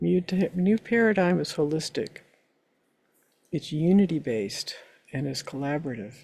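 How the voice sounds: A woman speaks in a low pitch with vocal fry and a dark, mellow tone. Her pace is moderate and her intonation lively.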